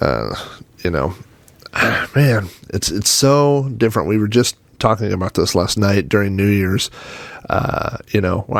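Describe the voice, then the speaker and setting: Over noticeable background noise, a man speaks at a fairly low pitch with ordinary pitch variation. His pace is fairly slow, with long, frequent pauses. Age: 40s. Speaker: podcast host. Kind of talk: casual monologue. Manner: hesitant, many fillers.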